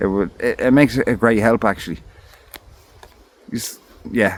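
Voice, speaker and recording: A man speaks with an Irish accent. His pitch sits in the medium range. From Ireland. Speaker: camping vlogger. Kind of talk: casual vlog talk. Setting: outdoors in a forest camp hut. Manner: rambling, halting with fillers.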